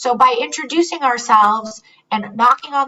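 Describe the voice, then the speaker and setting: This woman has a high-pitched voice. She speaks at a moderate pace. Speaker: psychogeriatric resource consultant, webinar presenter. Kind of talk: webinar presentation. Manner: animated.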